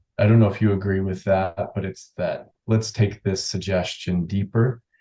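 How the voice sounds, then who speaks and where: This man has a fairly low pitch and a dark, mellow, somewhat breathy tone. He talks at a moderate pace with monotone, flat intonation. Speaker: hypnotherapist. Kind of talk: interview. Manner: calm, relaxed.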